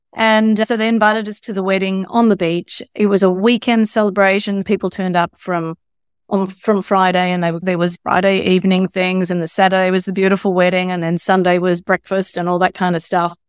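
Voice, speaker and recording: With an Australian accent, a woman talks fairly quickly at medium pitch, in a flat monotone with hardly any pauses. The recording is very clean, dry and close, with no echo and a silent background. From Australia, Sydney northern beaches. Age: 60s. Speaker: novelist. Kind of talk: interview.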